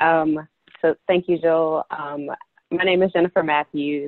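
The background is quiet. A woman speaks at a moderate pace. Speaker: emerging architect; panelist. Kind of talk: personal story in panel discussion. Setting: video call. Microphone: earbuds.

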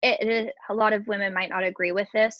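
A woman speaks at a fairly quick pace and medium pitch, her intonation fairly even, with a dry, close sound and no echo.

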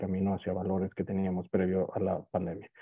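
A man speaks against a quiet background. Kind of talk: webinar opening remarks. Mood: formal, measured. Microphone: earbuds.

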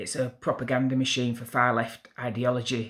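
A man with a Yorkshire accent at a moderate pace. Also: quiet background. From Yorkshire, northern England. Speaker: YouTuber, political commentator; commentator. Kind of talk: opinion monologue to camera. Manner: hesitant fillers. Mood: indignant, earnest. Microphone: phone near.

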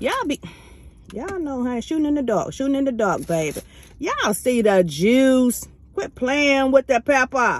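Over light background noise, a woman speaks in a high pitch at a moderate pace, the sound dry with no echo. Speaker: food vlogger. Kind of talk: casual vlog chat. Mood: cheerful, relaxed. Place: car. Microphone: phone near.

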